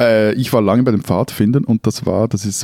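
Using a dark, mellow tone and ordinary pitch variation, a man with a fairly low pitch speaks at a fairly quick pace. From Switzerland, Zurich. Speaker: newspaper editor, podcast co-host. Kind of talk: casual chat.

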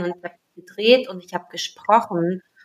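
Here the speaker is a woman. Hers is a plain, everyday voice. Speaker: coach, podcast co-host. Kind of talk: guided meditation; casual chat. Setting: home recording, separate rooms.

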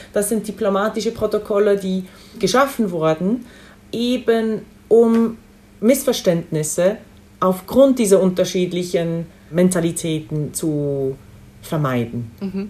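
At a very slow pace with long, frequent pauses, a woman of medium pitch speaks in a dark, mellow tone with lively intonation. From Switzerland. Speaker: diplomat. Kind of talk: interview. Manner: halting, with frequent fillers.

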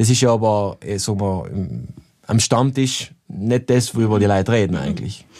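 Dark and mellow in tone, a man's fairly low voice moves at a moderate pace with ordinary pitch variation. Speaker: podcast co-host. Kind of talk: casual chat. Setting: studio.

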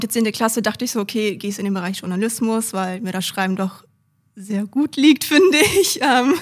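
A woman with a fairly high pitch speaks at a moderate pace, her voice somewhat breathy. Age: 20s. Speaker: IT professional and apprentice trainer. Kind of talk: interview.

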